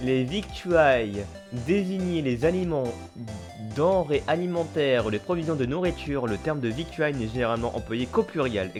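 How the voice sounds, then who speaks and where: Music plays in the background. A man at a medium pitch speaks at a moderate pace with lively intonation. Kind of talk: reading a dictionary definition.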